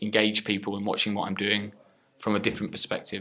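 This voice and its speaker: Here a man speaks with a British accent. His pitch is fairly low and his tone bright and sharp. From England. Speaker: professional wrestler. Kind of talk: interview. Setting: wrestling training center.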